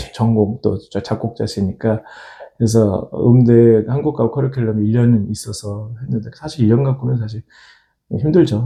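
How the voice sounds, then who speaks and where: Somewhat breathy and dark, mellow in tone, a man's medium-pitched voice moves at a fairly slow pace with ordinary pitch variation. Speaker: opera singer and church choir conductor. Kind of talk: interview. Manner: halting, with fillers.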